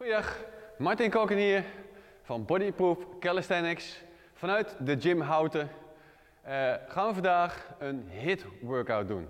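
A man at a very slow pace against a quiet background. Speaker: fitness coach. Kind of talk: tutorial. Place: gym.

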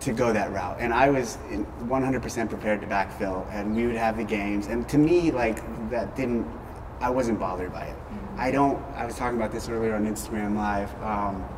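At a moderate pace, a man talks with ordinary pitch variation against noticeable background noise. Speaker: interviewee. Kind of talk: interview answer. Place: gym. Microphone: lapel.

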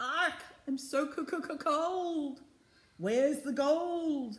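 A put-on character voice comes through, shrill and high in pitch. The pace is very slow.

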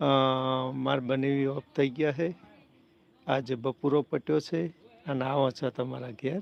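A man speaks in an unremarkable speaking voice. His pitch is medium, and his intonation fairly even. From north Gujarat, Sami taluka. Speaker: YouTube live streamer. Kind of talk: casual live stream chat. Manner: chatty, greeting viewers.

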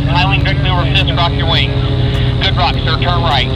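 A man talks over loud background noise. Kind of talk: radio instructions to pilots. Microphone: two way radio.

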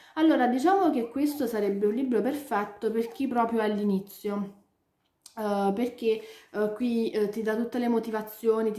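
With audible room echo around her, a woman speaks at a moderate pace in a dark, mellow tone with fairly even intonation. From Italy. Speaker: book youtuber; book vlogger. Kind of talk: casual chat. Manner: halting. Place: home room. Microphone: webcam.

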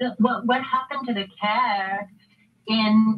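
Ordinary pitch variation in a woman's speech. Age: 50s. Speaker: nurse and cannabis advocate. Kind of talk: testimony. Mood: earnest, emotional. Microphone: video call.

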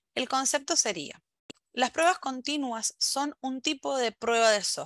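Recorded with a dry sound with no echo against a quiet background, a woman speaks at a high pitch. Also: ordinary pitch variation, fairly slow pace. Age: 30s. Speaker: software quality engineer; conference speaker. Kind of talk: conference talk. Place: home room. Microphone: headset.

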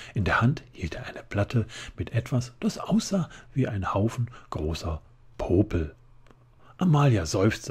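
A somewhat breathy man at medium pitch, fairly slow, with very wide pitch swings, big swings in loudness and long, frequent pauses. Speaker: ASMR reader. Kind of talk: bedtime story reading aloud, ASMR. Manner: soft, slow, gentle whisper-like narration.

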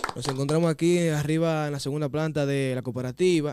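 Spoken with a Dominican accent and a fairly even intonation. The sound is dry with no echo, and there is noticeable background noise. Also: man. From Dominican Republic. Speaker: interviewer. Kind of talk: interview. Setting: studio. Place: studio. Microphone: studio mic.

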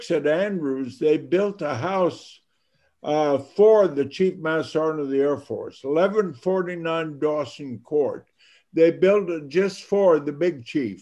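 A man speaks at a fairly slow pace in a fairly high pitch, his tone dark and mellow. His pitch varies in an ordinary way against a quiet background. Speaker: retired Chief Master Sergeant of the Air Force; guest. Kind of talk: interview answer. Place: home room. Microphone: video call.

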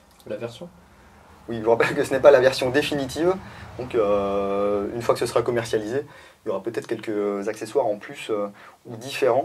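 A man speaks at a fairly quick pace with ordinary pitch variation and big swings in loudness. Light background noise sits behind him. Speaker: product reviewer. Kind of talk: casual product review chat. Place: shop. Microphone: lapel.

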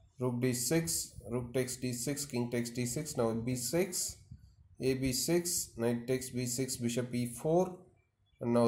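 A man speaks at a very slow pace, somewhat breathy, with fairly even intonation. His speech has long, frequent pauses. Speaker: chess commentator. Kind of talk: commentary. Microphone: phone near.

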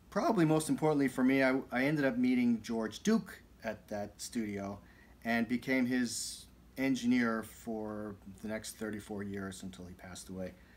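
A man at a moderate pace, with ordinary pitch variation and big swings in loudness. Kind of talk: casual vlog chat. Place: studio. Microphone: studio mic.

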